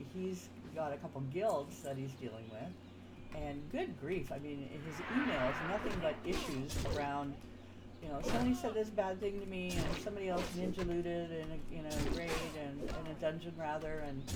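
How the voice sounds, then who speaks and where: With noticeable background noise and audible room echo, a woman speaks at a moderate pace, her very deep, low pitch swinging very widely. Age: 60s. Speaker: gaming streamer. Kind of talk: casual gameplay commentary. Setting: live stream. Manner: halting, filler-heavy.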